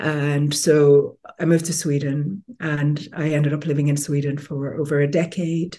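A woman's very deep, low voice, somewhat breathy and dark and mellow in tone, at a fairly slow pace. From Nigeria, Lagos. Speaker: feminist author and social critic. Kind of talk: interview conversation. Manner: hesitant, many fillers.

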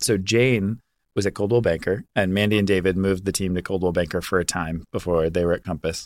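Very clean recording, silent background, and a man with an American accent, his very deep, low pitch kept to a fairly even intonation at a fairly quick pace. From US, military family, Virginia. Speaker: real estate agent. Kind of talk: casual chat.

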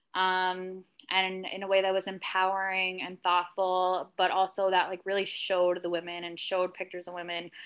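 In a very clean recording with a silent background, a woman with a New Jersey accent talks at a moderate pace with hardly any pauses, monotone, flat intonation, and big swings in loudness. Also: medium pitch for a woman. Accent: New Jersey American. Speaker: magazine editor and writer. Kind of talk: casual interview chat.

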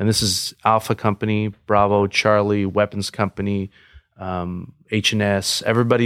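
A man's plain, everyday voice, fairly low in pitch and at a moderate pace, in a dry, close sound with no echo and a very clean recording with a silent background. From Los Angeles area, California. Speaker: police officer and Marine veteran. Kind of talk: casual chat.

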